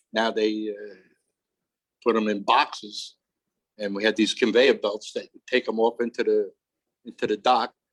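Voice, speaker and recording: A man with a New York accent, long, frequent pauses, and a dry, close sound with no echo. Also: moderate pace. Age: 70s. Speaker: retired longshoreman. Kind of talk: oral history interview. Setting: aboard a barge with small audience.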